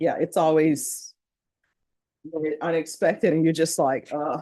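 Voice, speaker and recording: Speaking fairly slowly with long, frequent pauses, a woman uses a very deep, low pitch and a dark, mellow tone, her intonation fairly even. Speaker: judge. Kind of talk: courtroom proceedings. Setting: courtroom.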